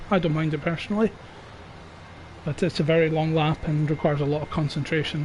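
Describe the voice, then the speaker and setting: A man speaks quietly at a very fast pace in a British accent. His intonation is monotone and flat, broken by long, frequent pauses. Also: fairly high pitch for a man. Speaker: sim racing league streamer and commentator. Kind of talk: live commentary. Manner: quiet, subdued.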